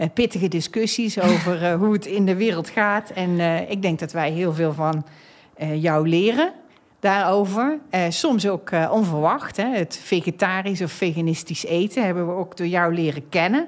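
A woman at a medium pitch with ordinary pitch variation, at a fairly slow pace. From Netherlands, North Brabant. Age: 50s. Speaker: energy company executive and podcast host. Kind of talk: casual chat. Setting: studio.

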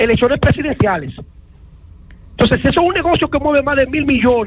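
Noticeable noise sits in the background. A man speaks very fast at an extremely high pitch with ordinary pitch variation. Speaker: sports commentator. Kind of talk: sports talk radio.

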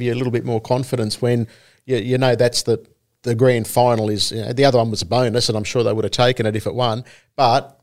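In a very clean recording with a silent background, a man with an Australian accent speaks at a medium pitch with fairly even intonation. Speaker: harness racing podcast co-host. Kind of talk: casual chat.

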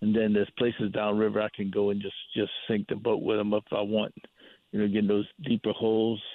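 With a Southern US accent, a man talks at a fairly quick pace and a fairly low pitch. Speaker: hunting and fishing guide. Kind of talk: casual chat. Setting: outdoors.

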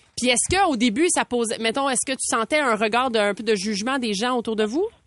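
The voice moves at a moderate pace with ordinary pitch variation, recorded dry and close with no echo over a quiet background. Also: woman. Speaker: radio host. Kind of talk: casual chat.

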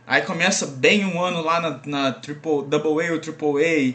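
Noticeable background noise surrounds a man with a fairly high pitch who speaks at a very slow pace. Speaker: podcast co-host. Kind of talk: casual chat.

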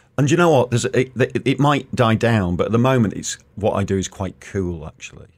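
A man with an unremarkable speaking voice talks at a medium pitch and fairly quick pace, using lively intonation and hardly any pauses. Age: 50s. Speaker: comedian. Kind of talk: casual chat.

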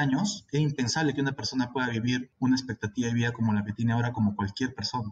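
Speaking at a fairly quick pace, a man has a medium pitch and ordinary pitch variation. His voice is somewhat breathy. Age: 30s. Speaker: infectious disease physician. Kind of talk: interview. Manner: halting.

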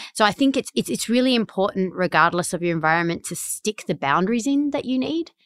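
A woman's medium-pitched voice in an Australian accent, very fast with very wide pitch swings, in a dry, close, very clean recording with a silent background and no echo. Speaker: tech executive. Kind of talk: interview conversation. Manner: animated.

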